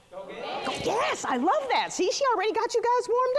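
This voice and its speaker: Over noticeable background noise, a woman talks loud and fast-ish, at a fairly quick pace with an energetic tone. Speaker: business coach and speaker. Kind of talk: keynote talk. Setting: luncheon event with audience. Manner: energetic, interactive.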